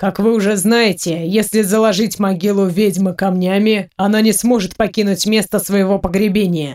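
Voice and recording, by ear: The intonation stays fairly even throughout this reading aloud in a natural voice.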